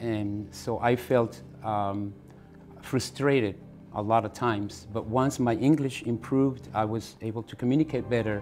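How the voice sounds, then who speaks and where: With music in the background, a man with a Spanish accent talks at a moderate pace. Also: medium pitch for a man, ordinary pitch variation. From northern Mexico, Chihuahua. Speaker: immigrant interviewee. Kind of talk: interview.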